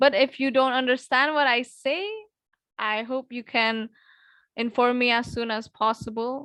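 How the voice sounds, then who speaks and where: Speaking in a high pitch with an Indonesian accent, a woman has a bright, sharp tone and fairly even intonation against a quiet background. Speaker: English tutor. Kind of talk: online class. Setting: video call. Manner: slow.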